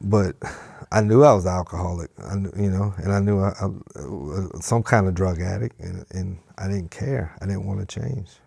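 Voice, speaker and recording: On a very clean recording with a silent background, a man with a very deep, low pitch sounds somewhat breathy, with a dark, mellow tone and ordinary pitch variation. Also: moderate pace. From South Louisiana, Cajun bayou town near Morgan City. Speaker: recovering alcoholic. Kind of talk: recovery testimony interview. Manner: halting, many fillers and repeats.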